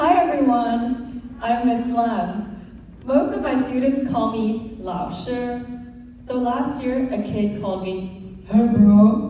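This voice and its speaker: Speaking very slowly with a Cantonese accent, a woman's fairly high voice shows ordinary pitch variation and big swings in loudness, with noticeable background noise and audible room echo. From Hong Kong. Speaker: Mandarin teacher. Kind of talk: school assembly speech.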